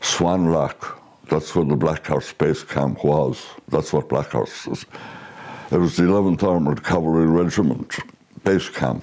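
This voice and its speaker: In a western Irish accent, a man speaks at a very slow pace with a very deep, low pitch, vocal fry and a dark, mellow tone. His loudness stays very even, and his pitch varies in an ordinary way. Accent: Irish, western Ireland. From Ireland, County Galway and County Meath. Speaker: war veteran. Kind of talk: oral history testimony. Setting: recorded at home with his son. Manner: halting.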